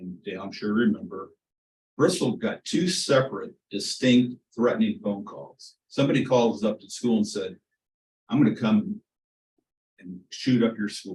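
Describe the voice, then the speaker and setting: With an American accent, a man speaks at a moderate pace in a medium-pitched, somewhat breathy voice, his pitch swinging very widely and his loudness rising and falling a lot. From Kansas, Wichita. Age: 70s. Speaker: community member speaking at public meeting. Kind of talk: public comment at board meeting.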